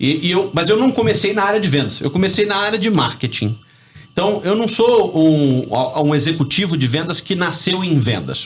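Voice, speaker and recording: The speech moves at a moderate pace with lively intonation. Its loudness stays very even. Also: man, high pitch for a man. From Rio de Janeiro, Brazil. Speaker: business professor and sales consultant. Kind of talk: radio interview. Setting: radio studio.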